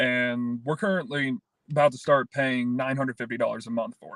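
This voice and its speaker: Fairly even intonation marks this speech in a Kentucky accent, recorded dry and close with no echo. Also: man. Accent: Kentucky Southern US. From Kentucky, around Brandenburg near Louisville. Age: 20s. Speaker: podcast guest. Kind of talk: casual interview.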